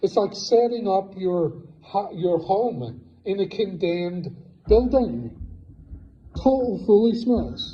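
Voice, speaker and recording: Speaking very slowly with long, frequent pauses, a man with a high voice and an Irish accent uses lively intonation, heard through audible room echo and noticeable background noise. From Ireland. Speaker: preacher. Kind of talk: sermon.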